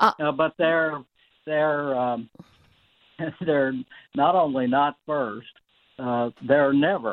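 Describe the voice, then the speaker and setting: Long, frequent pauses break up speech that is very slow. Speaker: guest commentator on radio show. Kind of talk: radio interview.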